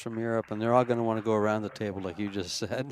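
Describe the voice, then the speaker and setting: The speaker is a man with a medium-pitched voice. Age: 60s. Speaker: pool commentator. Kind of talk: live commentary.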